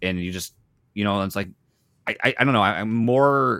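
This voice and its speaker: A man with a plain, everyday voice talks at a fairly quick pace, his fairly low pitch carried by lively intonation on a very clean recording with a silent background. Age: 30s. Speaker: podcaster and gamer. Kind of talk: casual chat.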